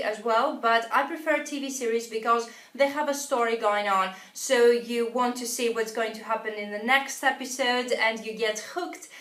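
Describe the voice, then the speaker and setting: A woman with a non-native accent speaks at a moderate pace, with hardly any pauses. Her pitch is high, with ordinary variation. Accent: non-native English speaker. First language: not English. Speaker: English teacher. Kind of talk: tutorial. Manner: hesitant, frequent uh fillers.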